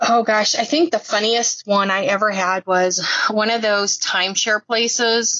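A woman with a normal speaking voice, fairly high pitch and ordinary pitch variation at a fairly slow pace. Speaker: telemarketer scam-baiter. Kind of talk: recorded interview, casual chat.

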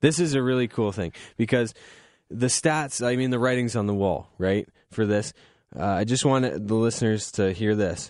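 At a moderate pace, a man with an unremarkable speaking voice talks at medium pitch with ordinary pitch variation against a quiet background. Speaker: radio host. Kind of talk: casual chat. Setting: studio. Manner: relaxed, frequent filler words.

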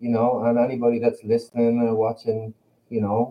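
A man speaks with an Irish accent. His pitch is medium and his pace moderate. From Ireland. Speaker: band member, musician. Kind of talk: casual interview chat.

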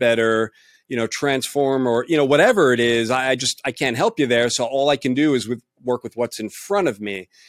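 A man with a normal speaking voice talks at a moderate pace and medium pitch with ordinary pitch variation, recorded very cleanly against a silent background in a dry, close sound with no echo. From New York City. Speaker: colorist. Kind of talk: casual roundtable discussion.

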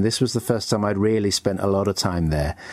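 With ordinary pitch variation, a man talks in an English accent. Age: 60s. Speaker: music historian and author. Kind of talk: interview. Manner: hesitant, with frequent fillers.

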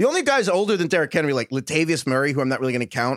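Very fast and lively, a man's fairly high voice comes through dry and close with no echo on a very clean recording with a silent background. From New York. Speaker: fantasy football podcast host. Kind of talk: casual chat.

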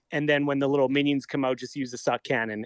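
Dry and close with no echo, the clip has a man with a normal speaking voice and a Canadian accent talking at a fairly quick pace and a fairly high pitch. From Calgary, Canada. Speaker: comedian. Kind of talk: casual chat.

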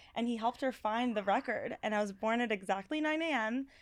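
A woman's animated tone in a Californian accent, with a fairly high pitch, ordinary pitch variation and a fairly quick pace. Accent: Californian American. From Los Angeles, US. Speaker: registered dietitian. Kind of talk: casual chat. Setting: studio.

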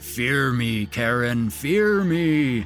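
A man's put-on character voice at a medium pitch, with very wide pitch swings and clear background noise. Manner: sinister, playfully menacing.

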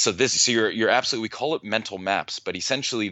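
A man with an ordinary speaking voice talks at a fairly low pitch with ordinary pitch variation. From United States. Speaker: neuroscientist and author. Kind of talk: interview.

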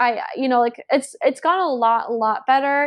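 Fairly even intonation comes with an American accent. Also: woman. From US South (Georgia). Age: 20s. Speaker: witch and author. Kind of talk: casual chat.

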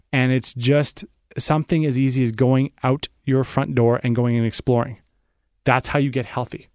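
A man's unremarkable speaking voice at medium pitch, moderately paced, with fairly even intonation, very even loudness and a dry, close sound with no echo. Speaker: health writer. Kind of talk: radio interview.

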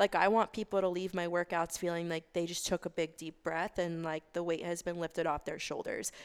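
In a very clean recording with a silent background and a dry, close sound with no echo, a woman with a fairly low pitch speaks at a fairly quick pace in monotone, flat intonation with hardly any pauses. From US South. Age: 20s. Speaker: Pilates instructor and blogger. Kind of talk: casual chat. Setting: in an apartment.

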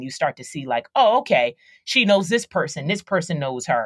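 A woman with an American accent talks at a fairly quick pace in an ordinary speaking voice, pitched fairly low. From Philadelphia, US East Coast. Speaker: actress and rapper. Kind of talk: casual interview.

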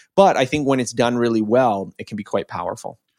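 A normal speaking voice comes through dry and close with no echo, on a very clean recording against a silent background. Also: man. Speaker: online course creator and learning writer. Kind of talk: casual interview conversation.

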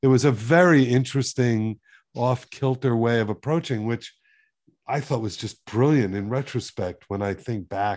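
In a very clean recording with a silent background, a man speaks at a moderate pace in an unremarkable speaking voice at medium pitch. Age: 60s. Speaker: literary podcast host. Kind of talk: interview.

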